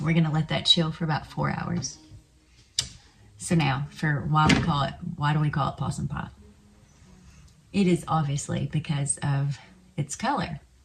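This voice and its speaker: Over music in the background, a woman with an American accent and a very deep, low pitch talks at a moderate pace with fairly even intonation and long, frequent pauses. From Arkansas. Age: old. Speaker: home cook. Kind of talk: casual cooking video talk to camera. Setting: home kitchen.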